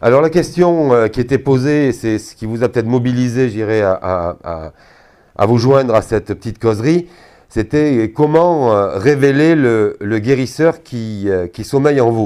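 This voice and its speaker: A man's medium-pitched voice, dark and mellow in tone, at a fairly slow pace with lively intonation, on a very clean recording with a silent background. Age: 60s. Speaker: energy therapist giving a talk. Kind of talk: talk to an audience. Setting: hall at a trade fair with audience. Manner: hesitant, many fillers.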